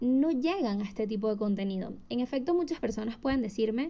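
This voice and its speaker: At a moderate pace, a woman speaks in a somewhat breathy voice with a fairly high pitch. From Venezuela, Caracas. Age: 20s. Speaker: podcast host. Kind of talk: solo podcast monologue. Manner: hesitant with fillers.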